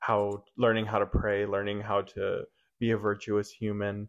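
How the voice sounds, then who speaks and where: An ordinary speaking voice moves along at a moderate pace. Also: man. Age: 20s. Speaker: youth minister. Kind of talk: casual chat.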